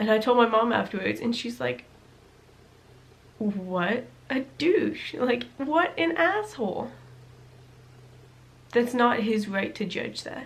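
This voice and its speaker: Against noticeable background noise, a woman with a fairly high pitch and lively intonation speaks at a very slow pace, leaving long, frequent pauses. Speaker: vlogger. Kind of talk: personal storytelling vlog.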